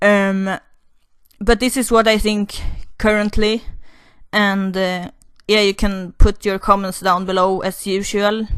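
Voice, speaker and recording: A woman with a non-native accent speaks at a fairly slow pace in a flat monotone, with long, frequent pauses over a quiet background. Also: medium pitch for a woman. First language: not English. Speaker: YouTuber, commentary vlogger. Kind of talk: opinion monologue. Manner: halting, many fillers and restarts.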